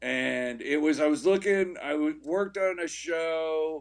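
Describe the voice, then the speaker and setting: The background stays quiet. A man delivers his words very slowly. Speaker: guest. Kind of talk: interview answer. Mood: upbeat, recounting career story. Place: home room. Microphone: video call.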